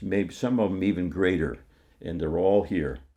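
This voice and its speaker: With vocal fry, a man speaks in a dark, mellow tone. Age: 80s+. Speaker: film enthusiast. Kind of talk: interview monologue. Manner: halting, frequent restarts and filler words.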